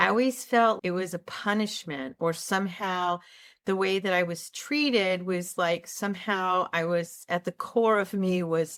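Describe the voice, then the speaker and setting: Here is a woman with an unremarkable speaking voice at medium pitch, with ordinary pitch variation. She talks at a fairly slow pace in a very clean recording with a silent background. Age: 60s. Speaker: health psychologist and channel host. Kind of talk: casual talk to camera. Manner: earnest, conversational.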